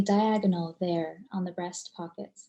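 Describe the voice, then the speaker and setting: Somewhat breathy and dark, mellow in tone, a woman's voice moves at a fairly slow pace. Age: 30s. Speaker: poet. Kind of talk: poetry reading.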